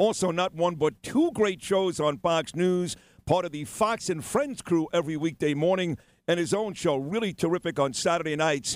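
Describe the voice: With lively intonation and a high pitch, a man speaks at a moderate pace.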